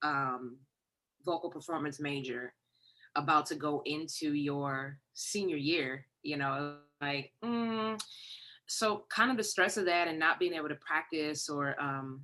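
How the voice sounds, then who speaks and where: With an American accent, a woman speaks at a fairly slow pace in a very deep, low voice with a bright, sharp tone and ordinary pitch variation. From Detroit, Michigan. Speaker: songwriter and vocal coach. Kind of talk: interview.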